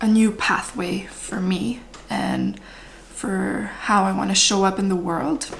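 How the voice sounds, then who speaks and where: A woman speaks at a very slow pace with a Quebec accent. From French Canada. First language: French. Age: 30s. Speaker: spiritual vlogger. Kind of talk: casual talk to camera. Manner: unscripted, stream of consciousness.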